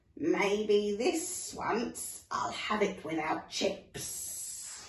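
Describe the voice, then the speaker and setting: A woman's put-on character voice at medium pitch, very slow pace, slight echo. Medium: read story.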